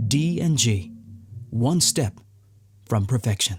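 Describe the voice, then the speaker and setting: Music plays behind a man of medium pitch. He speaks at a fairly slow pace with lively intonation. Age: 30s. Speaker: voice actor. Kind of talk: corporate commercial read. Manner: measured.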